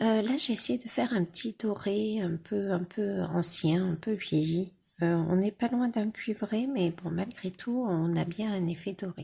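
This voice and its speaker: A woman's medium-pitched voice, with ordinary pitch variation, moves at a fairly slow pace. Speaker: vlogger. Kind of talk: casual vlog chat. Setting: at home. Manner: hesitant, many fillers; soft-spoken.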